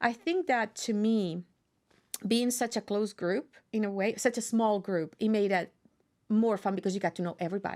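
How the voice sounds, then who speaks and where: Speaking with a Spanish accent at a moderate pace, a woman keeps a medium pitch and ordinary pitch variation on a very clean recording with a silent background. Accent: Spanish accent, noticeable. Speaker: university professor. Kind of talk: interview. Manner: animated.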